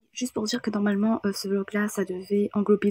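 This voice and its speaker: A woman talks fairly quickly in a somewhat breathy voice with a dark, mellow tone and fairly even intonation against a quiet background. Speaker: book vlogger. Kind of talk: casual talk to camera. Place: home room. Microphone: phone near.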